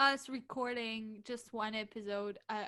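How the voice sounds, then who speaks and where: A woman with a non-native accent speaks at a fairly slow pace, her fairly high voice bright and sharp in tone. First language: not English. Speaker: podcast co-host. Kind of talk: casual chat.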